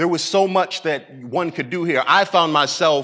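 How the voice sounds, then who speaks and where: Pitched fairly high, a man talks in a bright, sharp tone. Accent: American. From US Midwest, Massillon, Ohio. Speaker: spoken word poet. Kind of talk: TEDx talk. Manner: conversational.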